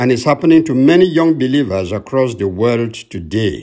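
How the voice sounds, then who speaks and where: His pitch swings very widely as a man speaks at a moderate pace. Vocal fry runs through his voice. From Cameroon. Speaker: radio minister. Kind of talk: sermon. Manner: formal.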